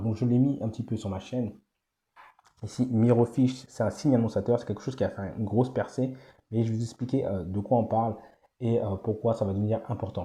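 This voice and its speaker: The speaker is soft-spoken and somewhat breathy, with a dark, mellow tone. Delivery is very fast with fairly even intonation. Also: man. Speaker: AI business YouTuber. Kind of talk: screen-share tutorial. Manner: soft-spoken, morning voice; hesitant with many fillers.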